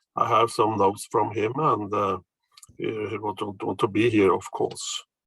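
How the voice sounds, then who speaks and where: The dry, close recording with no echo carries a man speaking with a Norwegian accent. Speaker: professor. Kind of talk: presentation. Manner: halting.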